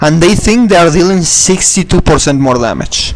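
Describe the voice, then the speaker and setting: Music plays behind a man as he speaks. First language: not English. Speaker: gaming video creator. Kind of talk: gameplay tutorial. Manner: halting, many restarts and repetitions; casual, swears.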